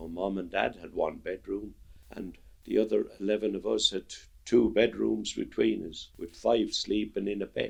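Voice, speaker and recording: A man speaks with an Irish accent. His pace is fairly slow. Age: 70s. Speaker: interviewee, Irish immigrant. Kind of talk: interview.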